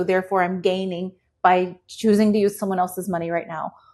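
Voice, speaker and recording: A woman's plain, everyday voice at a medium pitch and a moderate pace. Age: 40s. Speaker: economist and educator. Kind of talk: interview conversation.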